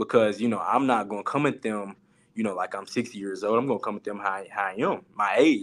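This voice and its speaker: On a very clean recording with a silent background, a man with an unremarkable speaking voice talks at a fairly quick pace, his fairly low pitch kept to fairly even intonation. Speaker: college sports coach. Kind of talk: panel talk show discussion.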